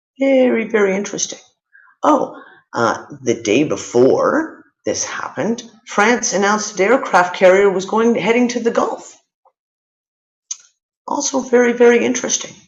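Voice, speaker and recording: At a moderate pace, a woman talks with vocal fry and long, frequent pauses. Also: fairly high pitch for a woman, ordinary pitch variation. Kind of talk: live news commentary to camera.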